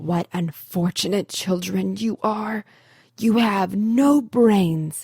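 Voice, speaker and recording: A raspy, put-on character voice at a very slow pace, with a dry, close sound and no echo. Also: woman, medium pitch for a woman. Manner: angry, scolding.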